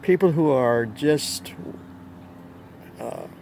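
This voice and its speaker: Over noticeable background noise, a man at a medium pitch lets his voice swing very widely up and down. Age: 60s. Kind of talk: religious monologue to camera. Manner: halting, self-correcting.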